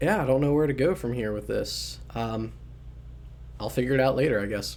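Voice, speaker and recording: Fairly quick speech from a man with an American accent, plus noticeable background noise and audible room echo. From US, southern Maryland. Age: 20s. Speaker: podcaster. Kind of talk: casual monologue. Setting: home studio. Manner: fast; hesitant, many fillers.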